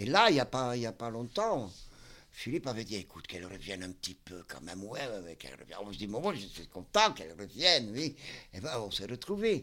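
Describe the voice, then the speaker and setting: Talking at a fairly quick pace, a man uses a bright, sharp tone and very wide pitch swings. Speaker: psychiatric clinic worker. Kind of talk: casual interview. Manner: halting.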